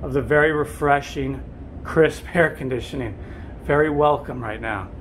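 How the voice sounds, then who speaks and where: A man speaking at a moderate pace over light background noise. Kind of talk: casual vlog chat. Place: boat. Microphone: phone near.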